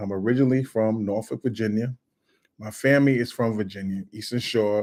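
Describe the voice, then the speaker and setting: This man's fairly even intonation rides on a fairly low pitch. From Brooklyn, New York City. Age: 50s. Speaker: political commentator and YouTuber. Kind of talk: casual live video monologue. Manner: halting, many fillers.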